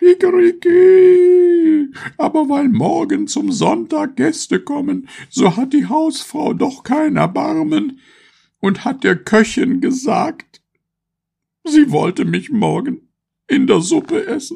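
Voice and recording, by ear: Loud and slow, a man in a put-on character voice has an extremely high pitch, a dark, mellow tone, lively intonation and vocal fry.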